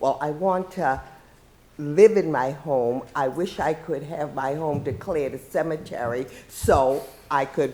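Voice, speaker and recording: Her pitch is very deep and low, and the woman speaks with an American accent. She talks at a fairly slow pace with ordinary pitch variation. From Boston, Massachusetts. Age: 70s. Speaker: retired police officer testifying at hearing. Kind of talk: public testimony.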